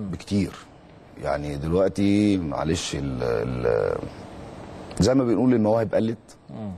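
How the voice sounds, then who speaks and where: Light background noise sits behind a man with a very deep, low pitch. He speaks at a fairly slow pace with long, frequent pauses and very wide pitch swings. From Egypt. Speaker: former footballer and youth coach; guest. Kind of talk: interview; interview answer. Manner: halting, with repeated words. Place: studio. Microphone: lapel.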